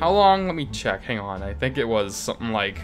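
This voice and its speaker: There is music in the background. A man speaks with very wide pitch swings. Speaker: indie game developer. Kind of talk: casual unscripted devlog commentary. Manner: rambling, some stuttering.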